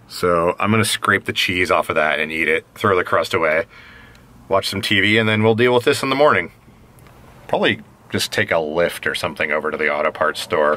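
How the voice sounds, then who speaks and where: A normal speaking voice at a fairly quick pace. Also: man. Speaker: vlogger. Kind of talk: casual vlog chat. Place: car. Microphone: phone near.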